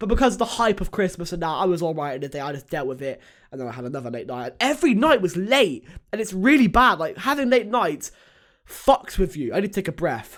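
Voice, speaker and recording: On a very clean recording with a silent background, a man's pitch rises and falls in very wide swings. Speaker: YouTuber podcaster. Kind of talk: casual solo podcast chat. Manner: fast.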